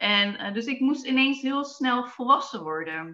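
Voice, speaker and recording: A bright, sharp tone carries lively intonation at a very slow pace. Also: woman. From Netherlands, Zwolle. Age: 30s. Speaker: lifestyle coach and dietitian. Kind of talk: interview. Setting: video call. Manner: hesitant, many fillers.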